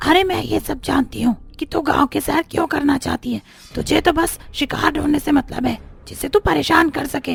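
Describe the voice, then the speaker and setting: In a cartoonish character voice, the speaker uses a high pitch and a fairly quick pace. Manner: stern, bossy.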